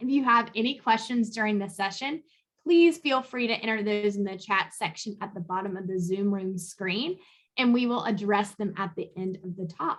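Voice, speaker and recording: At a moderate pace, a woman speaks in a plain, everyday voice at a medium pitch with ordinary pitch variation. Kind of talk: conference host introduction.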